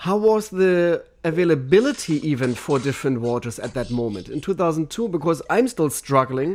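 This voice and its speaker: A man's fairly high voice with a German accent, very wide pitch swings and a moderate pace, on a very clean recording over a silent background. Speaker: podcast host, water sommelier. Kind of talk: interview podcast. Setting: studio with cameras.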